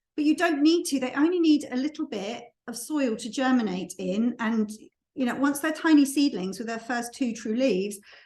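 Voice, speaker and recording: A woman speaks in a high voice. Her intonation is lively. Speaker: gardening tutor. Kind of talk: tutorial. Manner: fast.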